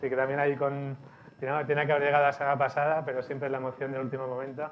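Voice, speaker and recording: Speaking at a very fast pace with a Barcelona accent, a man holds a fairly high pitch in monotone, flat intonation. Audible room echo surrounds the voice. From Spain, Barcelona. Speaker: CEO of a media company, speaker. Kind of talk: conference presentation. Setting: event hall with audience, streamed.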